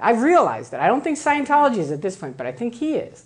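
A woman speaks with an American accent and very wide pitch swings. Room echo is audible. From US Midwest, Chicago. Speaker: former Scientologist, speaker. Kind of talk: lecture. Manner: animated.

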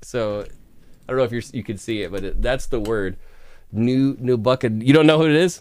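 Moving at a moderate pace, a man speaks with lively intonation. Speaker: music reaction show host. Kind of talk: casual interview. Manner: enthusiastic, animated. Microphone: studio mic.

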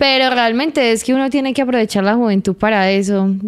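Against a quiet background, a woman talks at a moderate pace in a fairly high pitch. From Colombia, Medellín. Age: 20s. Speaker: municipal culture coordinator; interview guest. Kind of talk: casual interview. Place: studio. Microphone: handheld.

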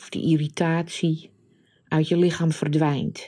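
In a calm tone, a woman speaks very slowly with a very deep, low pitch and monotone, flat intonation. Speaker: meditation guide and coach. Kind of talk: guided meditation. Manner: slow, calm, soft-spoken.

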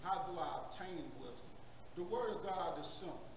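Noticeable background noise and audible room echo fill this recording of a man speaking at a moderate pace in a high voice. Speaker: Sunday school teacher. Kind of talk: sermon-like lesson. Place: church. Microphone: handheld.

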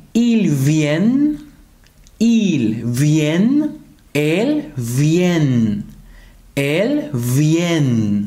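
Speaking very slowly with long, frequent pauses, a man uses a fairly high pitch and very wide pitch swings. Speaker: French teacher. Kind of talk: tutorial. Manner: slow, repeated example sentences. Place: home room.

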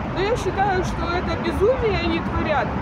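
A woman speaks with a dry sound and no echo. Crowd noise runs in the background. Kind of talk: interview answer. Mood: indignant, earnest. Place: street. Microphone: phone near.

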